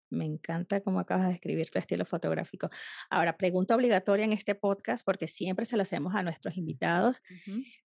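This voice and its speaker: A woman talks very fast at medium pitch, with vocal fry and ordinary pitch variation. The background is quiet. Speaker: podcast host, food photographer. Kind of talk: interview. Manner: animated.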